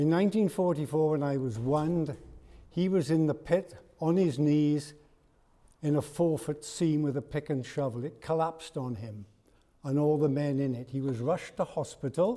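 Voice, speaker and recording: Speaking at a moderate pace in a Welsh accent, a man has a fairly high pitch and a dark, mellow tone. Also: ordinary pitch variation. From South Wales. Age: 80s+. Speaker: parliamentary candidate. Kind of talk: hustings speech.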